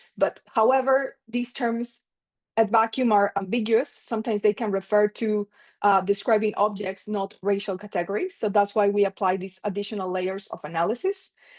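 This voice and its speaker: A woman with an ordinary speaking voice talks at a moderate pace in a medium pitch with fairly even intonation, captured in a dry, close sound with no echo against a quiet background. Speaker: economics researcher presenting a paper. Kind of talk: conference paper presentation.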